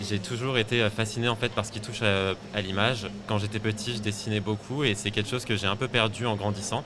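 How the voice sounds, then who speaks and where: A man's flat, monotone delivery with hardly any pauses over noticeable background noise. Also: fairly low pitch for a man, fairly quick pace. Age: 30s. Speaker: fashion designer, t-shirt brand founder. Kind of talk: interview. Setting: live at a trade fair stand.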